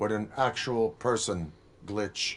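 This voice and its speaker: A man puts on a character voice. His pitch is fairly low. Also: quiet background. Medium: video game. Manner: flat, clipped, deadpan.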